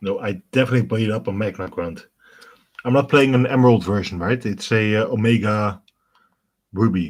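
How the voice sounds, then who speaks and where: The speaker has a Dutch accent and ordinary pitch variation. The pace is fairly quick, broken by long, frequent pauses. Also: man, fairly low pitch for a man. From Netherlands. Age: 30s. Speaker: gaming streamer. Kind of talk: live stream gameplay commentary. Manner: casual, conversational.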